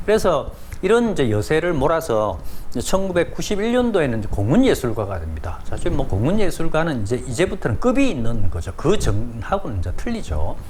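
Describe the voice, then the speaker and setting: Very wide pitch swings come at a fairly quick pace. Noticeable background noise and audible room echo fill the recording. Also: man, fairly high pitch for a man. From South Korea. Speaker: painter and art commentator. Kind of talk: informal lecture. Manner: many filler words, conversational.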